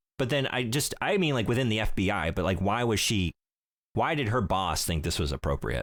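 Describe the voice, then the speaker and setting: Vocal fry and very wide pitch swings mark a man's fairly quick speech. There is a very clean recording with a silent background. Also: very even loudness. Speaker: video game podcast host. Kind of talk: casual chat. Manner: fumbles words, repeats.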